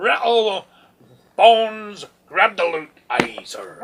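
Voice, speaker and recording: A put-on character voice, female-sounding, at a medium pitch and a very slow pace. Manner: gruff, playful.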